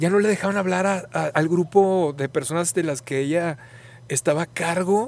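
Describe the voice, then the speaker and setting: This man has a high pitch and ordinary variation in it. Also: moderate pace. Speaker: podcast host. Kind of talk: casual conversation. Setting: outdoors in a park.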